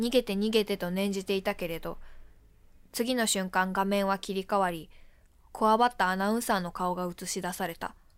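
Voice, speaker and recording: A woman speaks at a moderate pace in an unremarkable speaking voice of medium pitch, recorded very cleanly over a silent background. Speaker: theater performer. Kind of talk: reading aloud.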